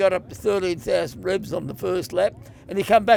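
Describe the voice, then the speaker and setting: With an Australian accent, a man talks in a high voice whose pitch swings very widely. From Wangaratta, Victoria, Australia. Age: 80s+. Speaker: retired motorcycle road racer. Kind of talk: interview answer.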